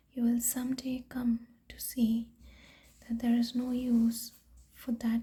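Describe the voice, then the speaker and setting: Soft-spoken, the speaker goes at a very slow pace. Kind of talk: sleep story reading.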